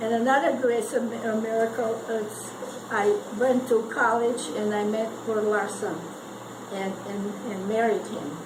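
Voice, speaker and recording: With fairly even intonation, a fairly high-pitched woman speaks amid audible room echo and noticeable background noise. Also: fairly slow pace. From Eastern Europe (Ukraine). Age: 80s+. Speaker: World War Two survivor. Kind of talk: personal testimony to family gathering. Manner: halting, many repetitions.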